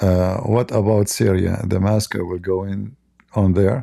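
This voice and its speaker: A man speaks with an Arabic accent in a dark, mellow voice. The recording is very clean, with a silent background. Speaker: religious commentator, live streamer. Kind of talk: live stream commentary. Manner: animated.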